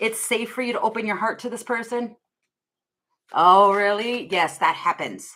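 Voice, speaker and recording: A woman's fairly high, bright, sharp voice, loud, at a moderate pace with ordinary pitch variation and long, frequent pauses. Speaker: tarot reader. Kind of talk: live tarot reading stream.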